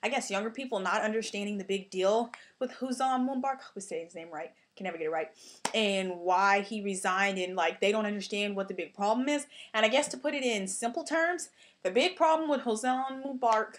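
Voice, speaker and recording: A woman's fairly high voice at a fairly quick pace, with lively intonation and big swings in loudness. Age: 20s. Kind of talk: casual talk to camera. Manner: fast; rambling.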